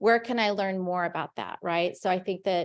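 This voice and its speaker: The speaker is a woman. She sounds animated. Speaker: meeting organizer. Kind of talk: meeting announcements. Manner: loud.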